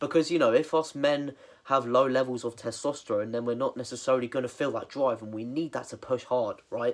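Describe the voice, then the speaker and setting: A man with a British accent speaks at a medium pitch and a fairly quick pace, his intonation fairly even. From England. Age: 20s. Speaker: fitness coach. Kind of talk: tutorial. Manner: casual, filler-heavy.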